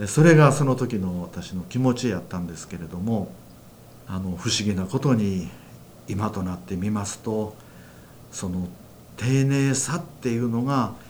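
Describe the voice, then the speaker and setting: With audible room echo, a man with a fairly low pitch talks at a fairly slow pace, using lively intonation, big swings in loudness and long, frequent pauses. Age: 60s. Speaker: church minister, former care worker. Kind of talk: testimony.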